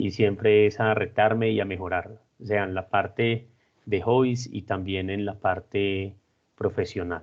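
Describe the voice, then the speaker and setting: Fairly slow and fairly low in pitch, this man speaks with monotone, flat intonation. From Colombia, Armenia (coffee region). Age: 40s. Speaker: civil engineer, project director. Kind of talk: interview, personal and career account. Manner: hesitant, with fillers.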